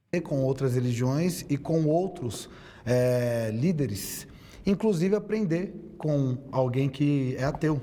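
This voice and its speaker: Talking at a very slow pace, a man with a fairly high pitch keeps his loudness very even while his intonation stays lively. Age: 30s. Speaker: theologian and debater. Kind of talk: debate statement.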